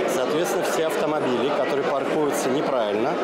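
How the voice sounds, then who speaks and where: Crowd noise fills the background. A man is speaking. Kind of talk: interview answer. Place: hall.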